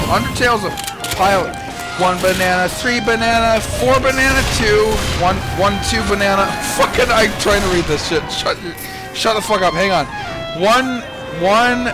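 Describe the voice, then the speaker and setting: Long, frequent pauses break up the speech while clear music plays in the background. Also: moderate pace. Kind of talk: casual gaming talk with friends.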